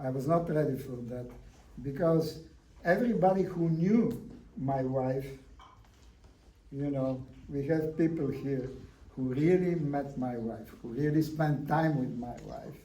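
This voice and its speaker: A man with a non-native accent and a fairly high pitch speaks at a fairly slow pace with long, frequent pauses, his voice carrying audible room echo. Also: ordinary pitch variation. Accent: foreign. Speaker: artist. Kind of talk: public talk. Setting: gallery event with audience.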